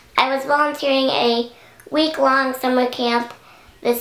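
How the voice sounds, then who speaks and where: A woman speaks over noticeable background noise. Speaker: beauty YouTuber. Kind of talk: casual chat. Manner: animated.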